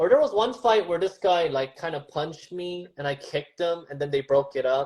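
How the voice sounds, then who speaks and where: This man speaks at a fairly quick pace with a high pitch. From Southern California (Glendale), from age 7; born in Seoul. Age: 30s. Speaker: stand-up comedian. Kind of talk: casual interview chat.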